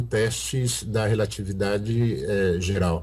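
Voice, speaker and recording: Somewhat breathy, a man speaks with a fairly low pitch and ordinary pitch variation. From Brazil, Sete Lagoas (Minas Gerais). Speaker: astrophysicist. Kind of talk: interview. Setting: video call. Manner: halting, many fillers.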